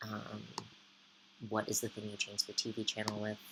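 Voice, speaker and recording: With an American accent, the words tumble out at a fairly quick pace. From UK (Edinburgh and Belfast) and US East Coast. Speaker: vlogger. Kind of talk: casual vlog chat. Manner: hesitant, many ums.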